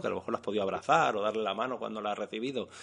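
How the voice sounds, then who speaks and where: Against a quiet background, a man talks in a Castilian accent. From Castile, Spain (born in Madrid). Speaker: rural community shop organizer. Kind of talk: radio interview. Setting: on location at a shop counter.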